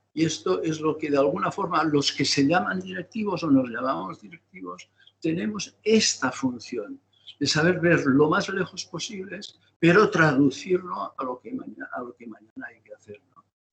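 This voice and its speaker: This man's voice sits high in pitch, with lively intonation and a moderate pace. His loudness swings widely from moment to moment. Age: 70s. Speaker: business executive. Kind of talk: webinar interview.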